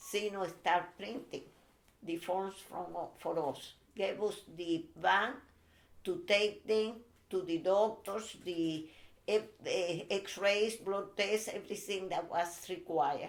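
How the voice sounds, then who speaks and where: In a Spanish accent, a woman speaks at a very slow pace with medium pitch and fairly even intonation. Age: 80s. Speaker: Cuban immigrant interviewee. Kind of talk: family interview. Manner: halting, hesitant English.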